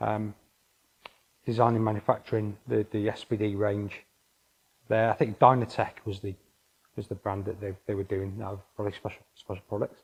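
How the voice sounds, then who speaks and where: A man with a Welsh accent speaks at a moderate pace, taking long, frequent pauses. His voice is somewhat breathy and his intonation monotone and flat. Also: fairly low pitch for a man. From North Wales. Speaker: engineering consultant. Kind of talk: interview. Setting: office. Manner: halting.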